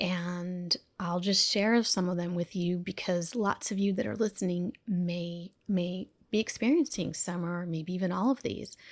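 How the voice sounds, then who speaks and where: The recording is very clean, with a silent background. A woman with an unremarkable speaking voice talks at medium pitch and a fairly slow pace with ordinary pitch variation. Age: 50s. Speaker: physician and self-care coach. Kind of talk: interview.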